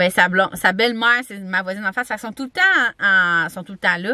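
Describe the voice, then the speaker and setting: In a Quebec accent, a woman speaks at a medium pitch with ordinary pitch variation and a fairly quick pace, the sound dry and close with no echo. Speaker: vlogger. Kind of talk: casual vlog talk to camera. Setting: campground. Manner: chatty, fast, many fillers.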